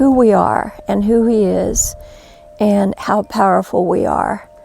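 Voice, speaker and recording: Background noise is noticeable throughout this clip. A woman talks in it at a fairly slow rate. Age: 60s. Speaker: spiritual teacher and near-death experiencer. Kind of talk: inspirational talk.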